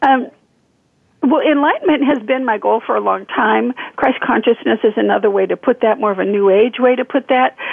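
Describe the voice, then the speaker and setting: Speaking at a fairly quick pace with an American accent, a woman has an unremarkable speaking voice, fairly high in pitch, with ordinary pitch variation. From Northern California. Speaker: author and spiritual healer. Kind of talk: interview.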